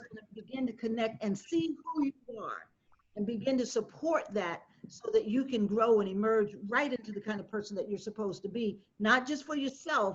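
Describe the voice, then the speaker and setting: A woman's unremarkable speaking voice, fairly high-pitched, with ordinary pitch variation at a moderate pace. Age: 60s. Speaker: panelist, community advocate. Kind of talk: panel discussion.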